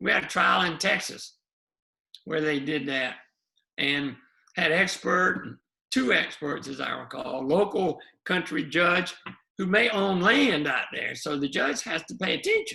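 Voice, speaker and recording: A high-pitched man in a Southern US accent, lively in intonation, fairly slow, with long, frequent pauses. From US South, South Carolina. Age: 70s. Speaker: lawyer and activist. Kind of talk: oral history interview.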